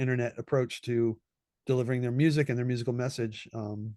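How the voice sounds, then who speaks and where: A man with a West Coast US accent talks at a fairly quick pace and a medium pitch. The background is quiet. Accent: General American (West Coast). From Southern California. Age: 60s. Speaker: session trombonist. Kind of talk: interview conversation. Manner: casual, with many repetitions and fillers.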